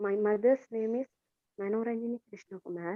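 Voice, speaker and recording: A woman with a Tamil accent speaks in a fairly high pitch with fairly even intonation. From Sri Lanka, Jaffna area. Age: 20s. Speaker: English class student. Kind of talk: self-introduction speech. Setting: video call.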